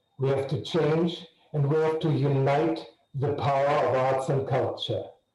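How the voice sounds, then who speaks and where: The speech moves at a fairly slow pace with very even loudness and monotone, flat intonation. Audible room echo fills the recording. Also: man, fairly high pitch for a man. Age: 70s. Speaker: arts patron. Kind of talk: video call introduction.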